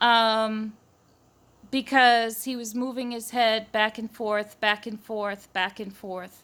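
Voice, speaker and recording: Her voice is fairly high, bright and sharp, with an American accent. The woman's intonation stays monotone and flat. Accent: Massachusetts accent, comes out when nervous. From Massachusetts. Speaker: eyewitness vlogger. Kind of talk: personal testimony. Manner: rambling, hesitant.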